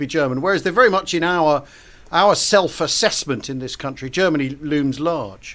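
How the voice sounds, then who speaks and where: The pace here is fairly quick. It's a man, with a British accent. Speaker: podcast host. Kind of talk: podcast interview. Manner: halting, many false starts.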